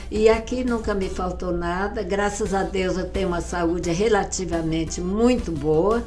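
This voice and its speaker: Fairly slow speech with audible room echo and music in the background. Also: woman. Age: 90s. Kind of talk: interview testimony. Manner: halting.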